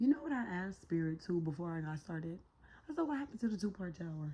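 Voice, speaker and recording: A woman speaks at a very fast pace with a fairly low pitch. Her tone is dark and mellow, and somewhat breathy. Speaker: tarot reader. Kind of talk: tarot reading monologue. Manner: casual, slangy.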